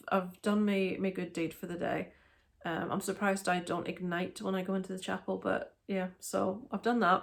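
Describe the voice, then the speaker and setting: In a Northern Irish accent, a woman talks at medium pitch with monotone, flat intonation. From Northern Ireland. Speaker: parent vlogger. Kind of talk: casual talk to camera.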